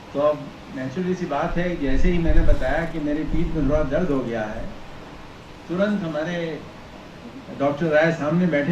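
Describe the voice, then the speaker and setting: A man speaks at a fairly high pitch. The recording carries audible room echo and noticeable background noise. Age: 60s. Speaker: university head, former professor. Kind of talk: formal speech at an academic event.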